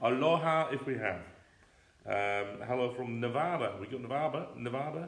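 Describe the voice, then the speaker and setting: A man with an English accent speaks with ordinary pitch variation. Audible room echo and noticeable background noise surround his voice. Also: medium pitch for a man. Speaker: teddy bear company co-host. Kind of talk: casual live chat. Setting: livestream. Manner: fast.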